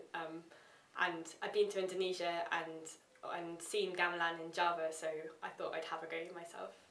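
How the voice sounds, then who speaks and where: The voice keeps a monotone, flat intonation at a moderate pace, with audible room echo. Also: woman, fairly low pitch for a woman. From England. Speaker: history student and gamelan player; interviewee. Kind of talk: interview. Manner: hesitant, many fillers. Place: meeting room.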